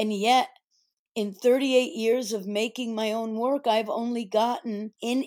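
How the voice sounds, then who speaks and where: At a fairly slow pace, a woman speaks in a fairly high pitch with a dark, mellow tone. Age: 60s. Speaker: performance artist. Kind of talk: interview.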